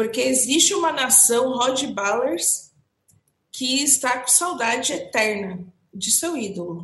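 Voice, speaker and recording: At a very slow pace, a woman speaks with a high pitch and lively intonation. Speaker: entertainment podcast co-host. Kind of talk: casual chat.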